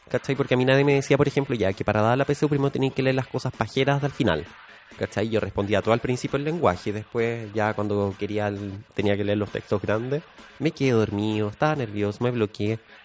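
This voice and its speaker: Speaking at a very fast pace in a Chilean accent, a man has a medium pitch and ordinary pitch variation. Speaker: podcast co-host. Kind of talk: casual chat. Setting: studio.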